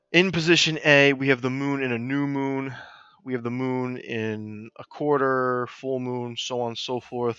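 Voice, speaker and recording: Over a quiet background, a man speaks in an unremarkable speaking voice. His pitch is medium and his pace moderate. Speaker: middle school science teacher. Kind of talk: lecture. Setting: live stream.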